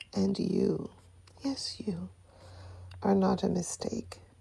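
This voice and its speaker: The speaker is soft-spoken, with a gentle tone. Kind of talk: affirmation letter reading. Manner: gentle, comforting.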